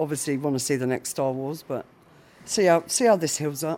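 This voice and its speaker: A woman talks at a moderate pace with a southern English accent. Her pitch is very deep and low, with ordinary variation. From Isle of Wight, southern England. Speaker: hospital patient. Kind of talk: recorded interview. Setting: hospital ward.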